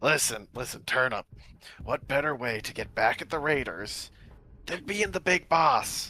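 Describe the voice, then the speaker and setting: Using a put-on character voice, a man talks at a fairly high pitch with lively intonation and long, frequent pauses. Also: moderate pace. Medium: actual play. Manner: coaxing, conniving.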